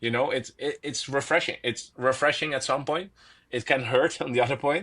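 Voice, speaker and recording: Bright and sharp in tone, this voice has a Dutch accent, a moderate pace and ordinary pitch variation. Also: man, fairly high pitch for a man. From Netherlands. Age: 20s. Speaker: professional tennis player. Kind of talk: casual interview chat. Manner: hesitant, with fillers and repetitions.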